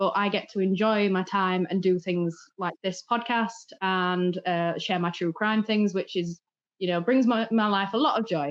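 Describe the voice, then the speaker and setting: A woman speaks at medium pitch and a moderate pace with ordinary pitch variation. Her loudness stays very even over a quiet background. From England. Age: 30s. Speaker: true crime content creator. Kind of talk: casual chat.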